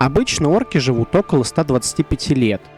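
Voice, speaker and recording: A fairly high-pitched man's voice with very wide pitch swings at a moderate pace, with music in the background. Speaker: tabletop RPG reviewer. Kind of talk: informative explainer to camera. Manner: energetic, forceful.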